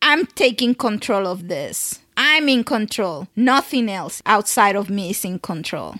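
At a fairly slow pace, a woman talks with a bright, sharp tone. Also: medium pitch for a woman, lively intonation.

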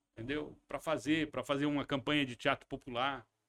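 A man at a fairly quick pace. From western São Paulo state and Paraná, Brazil. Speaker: actor, producer and director. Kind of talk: interview. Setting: studio.

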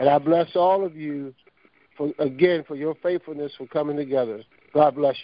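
With an American accent, the speaker has an ordinary speaking voice, fairly even intonation, a moderate pace and big swings in loudness. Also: man, fairly high pitch for a man. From Norfolk, Virginia, US.

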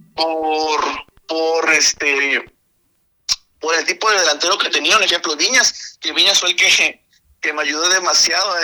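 In a plain, everyday voice, a man talks fairly slowly at a fairly high pitch with fairly even intonation. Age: 20s. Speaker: esports gamer. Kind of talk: radio interview.

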